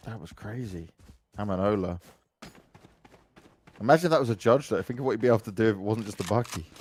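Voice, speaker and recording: In a London accent, a man speaks very fast at a fairly low pitch with an animated tone, ordinary pitch variation, long, frequent pauses and big swings in loudness. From London, England. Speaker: esports commentator. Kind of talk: live commentary.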